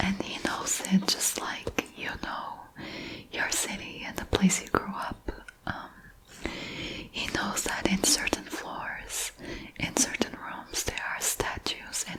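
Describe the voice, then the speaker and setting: Through noticeable background noise comes a whisper at a very slow pace, broken by long, frequent pauses. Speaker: ASMR creator. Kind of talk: ASMR book haul, whispered rambling to camera. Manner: whispered, soft-spoken, relaxing.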